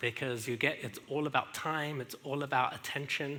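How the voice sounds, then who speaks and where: A man with an English accent, medium pitch, a bright, sharp tone, ordinary pitch variation and a fairly quick pace. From England. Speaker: speaker sharing marriage story. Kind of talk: testimony. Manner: halting.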